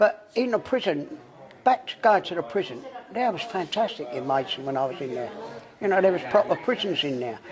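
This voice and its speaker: Over noticeable background noise, a man speaks at a fairly quick pace. His high pitch swings very widely. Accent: Cockney. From London. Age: 70s. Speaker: former armed robber. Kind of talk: casual interview. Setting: in a pub.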